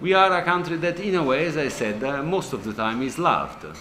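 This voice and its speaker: A man speaks in a high voice with very wide pitch swings. Audible echo fills the room. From Italy, Rome. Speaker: ambassador. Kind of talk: interview. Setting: studio. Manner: halting, many fillers.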